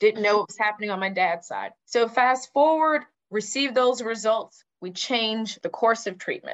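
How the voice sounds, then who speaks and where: A woman with an American accent and an unremarkable speaking voice talks at a moderate pace with hardly any pauses. Her pitch is fairly high, with ordinary variation. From Texas, Houston. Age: 30s. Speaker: nonprofit founder, breast cancer survivor, media professional. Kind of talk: interview testimony.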